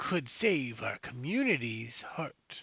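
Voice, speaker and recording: A put-on character voice, quiet yet resonant, drawls out the words at a very slow pace. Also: man. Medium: game stream. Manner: hushed, conspiratorial.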